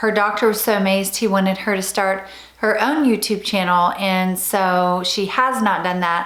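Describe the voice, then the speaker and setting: At a moderate pace, a woman with an unremarkable speaking voice talks in a medium pitch with fairly even intonation. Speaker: YouTube host, interviewer. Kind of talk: intro talk to camera.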